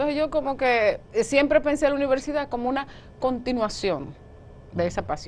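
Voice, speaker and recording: At a fairly quick clip, a woman talks in a high voice. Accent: Dominican. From Dominican Republic, Monte Plata. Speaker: journalist. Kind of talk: interview.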